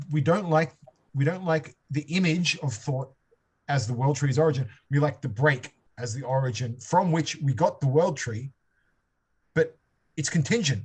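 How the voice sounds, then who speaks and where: Somewhat breathy, a man speaks at a moderate pace in a fairly high pitch, with ordinary pitch variation and long, frequent pauses. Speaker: seminar leader on philosophy. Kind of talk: seminar discussion. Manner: halting, many repetitions and fillers; improvised, thinking aloud.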